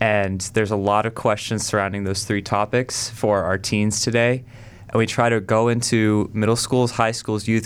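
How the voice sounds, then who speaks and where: A man speaks with an American accent at a fairly low pitch. His intonation is flat and monotone, and his pace is moderate. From South Carolina. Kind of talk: radio interview. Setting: studio.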